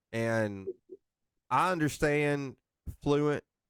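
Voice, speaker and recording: With a slight North Alabama accent, a man speaks at a very slow pace. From northeast Mississippi. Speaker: podcast host. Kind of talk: casual chat.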